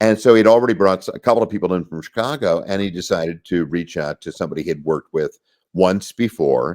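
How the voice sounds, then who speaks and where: Ordinary pitch variation in a man's speech. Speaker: voice actor. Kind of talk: interview answer. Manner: conversational, storytelling.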